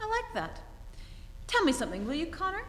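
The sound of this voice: A woman performs a put-on character voice at an extremely high pitch with very wide pitch swings. Her pace is fairly quick, with faint background noise. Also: fairly bright tone.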